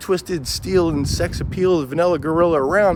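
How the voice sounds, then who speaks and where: A man with a high pitch talks at a moderate pace with lively intonation. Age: 40s. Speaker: vlogger. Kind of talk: casual monologue vlog.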